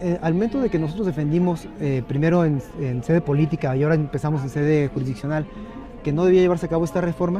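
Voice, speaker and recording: With music in the background, a man talks at a very fast pace, his fairly high voice showing ordinary pitch variation. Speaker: judge. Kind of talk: interview. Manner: halting.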